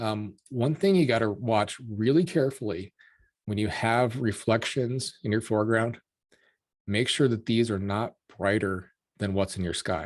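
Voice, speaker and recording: A man with an American accent and a plain, everyday voice, medium in pitch, with lively intonation and a moderate pace, on a very clean recording with a silent background. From Colorado, US. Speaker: landscape photographer and presenter. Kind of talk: tutorial.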